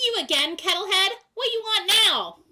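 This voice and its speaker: Someone does a squeaky put-on character voice at an extremely high pitch, at a moderate pace. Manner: cackling.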